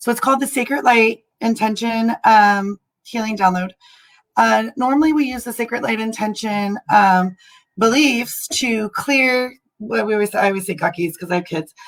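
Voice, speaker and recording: A woman is speaking at a moderate pace. Her pitch sits fairly high. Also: ordinary pitch variation. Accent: Californian. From California. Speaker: spiritual healer and military veteran. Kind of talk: livestream talk to viewers. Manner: casual with many fillers.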